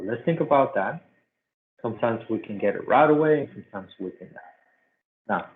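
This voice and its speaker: A man at a fairly high pitch and very fast pace, lively intonation, big swings in loudness, long, frequent pauses. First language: not English. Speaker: math teacher. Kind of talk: tutorial.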